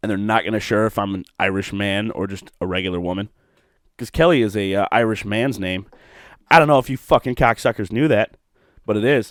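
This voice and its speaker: In a very clean, dry and close recording with a silent background and no echo, a man with a Midwestern American accent talks in an animated tone at a fairly low pitch, with ordinary pitch variation and a fairly quick pace. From Ohio, Toledo. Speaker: podcast host. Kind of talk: casual monologue. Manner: rambling, animated; lip smacking.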